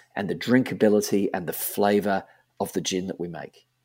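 A man with an Australian accent and a dark, mellow tone, on a very clean recording with a silent background. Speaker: gin company co-founder. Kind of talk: interview. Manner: repetitive false starts.

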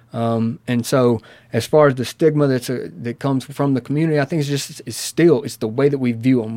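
On a very clean recording with a silent background, a man in a Southern US accent speaks at a moderate pace with a medium pitch, a dark, mellow tone and fairly even intonation. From US South, Mississippi. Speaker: addiction counselor. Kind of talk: interview.

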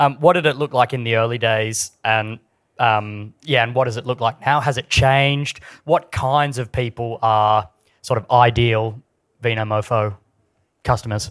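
A man with an Australian accent at a moderate pace, fairly even intonation, a dry, close sound with no echo and a very clean recording with a silent background. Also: medium pitch for a man. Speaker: podcast interviewer. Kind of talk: live interview on stage. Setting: stage with audience. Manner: halting with many fillers.

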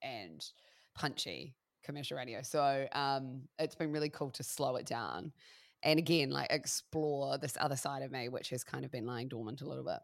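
A woman with a New Zealand accent, at a fairly slow pace. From New Zealand, Christchurch. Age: 30s. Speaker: radio broadcaster. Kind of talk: casual chat.

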